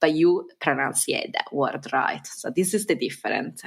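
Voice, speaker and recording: A woman speaks with an Italian accent. Her pace is fairly slow. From Piedmont, northern Italy. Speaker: Italian language teacher. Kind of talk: interview.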